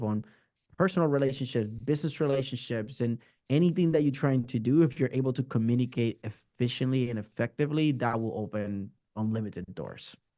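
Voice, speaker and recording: With a Spanish accent, a man at medium pitch speaks at a fairly quick pace. His tone is dark and mellow, with ordinary pitch variation. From Puerto Rico. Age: 30s. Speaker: marketing strategist. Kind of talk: interview. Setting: video call. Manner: halting, repeats words.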